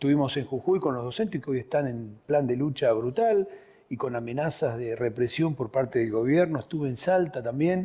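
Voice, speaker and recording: With lively intonation, a man speaks at a moderate pace in an ordinary speaking voice of medium pitch. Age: 60s. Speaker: political party leader. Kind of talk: political interview.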